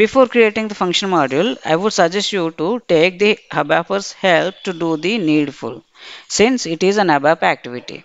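With an ordinary speaking voice, a woman talks at a moderate pace, her fairly low pitch carrying lively intonation. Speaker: SAP software trainer. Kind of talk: tutorial. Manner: formal.

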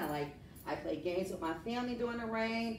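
With music in the background and audible room echo, a woman speaks at a moderate pace with lively intonation. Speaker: teacher. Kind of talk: lesson to students. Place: classroom. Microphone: camera far.

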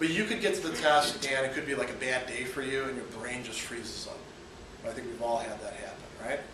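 A man speaks at a fairly quick pace, with audible room echo and noticeable background noise. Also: ordinary pitch variation. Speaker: philosophy professor. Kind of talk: classroom lecture. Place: classroom. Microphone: camera far.

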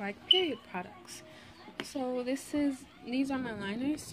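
Over clear music in the background, a woman speaks at a very slow pace with ordinary pitch variation. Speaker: vlogger. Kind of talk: casual show-and-tell vlog chat. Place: home room. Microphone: phone near.

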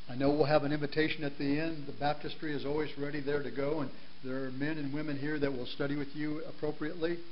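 Speaking very fast, a man keeps a monotone, flat delivery at a fairly high pitch. Light background noise sits behind him. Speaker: guest preacher. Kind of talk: sermon. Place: church.

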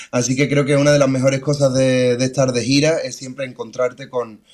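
The speaker has an Andalusian accent and a moderate pace. Light background noise is audible. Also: man. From Seville, Andalusia. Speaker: singer-songwriter; remote guest. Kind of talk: interview. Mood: warm, friendly. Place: home room. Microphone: video call.

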